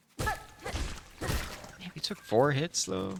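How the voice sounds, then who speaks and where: A soft-spoken man takes on an animated tone with very wide pitch swings. Noticeable background noise runs underneath. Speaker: gaming streamer. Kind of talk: let's play commentary. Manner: casual, animated. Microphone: voice too quiet on mic.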